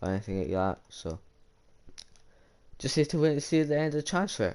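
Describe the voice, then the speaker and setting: A man's pitch swings very widely as he talks. Everything around him is quiet. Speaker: gaming youtuber. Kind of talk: casual commentary on video game.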